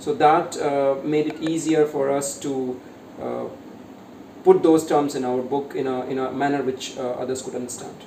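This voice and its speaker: A man speaks at a moderate pace and a fairly high pitch, with fairly even intonation. Noticeable background noise and audible room echo come through. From India, Uttar Pradesh (Ayodhya). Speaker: author and corporate speaker. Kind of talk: interview.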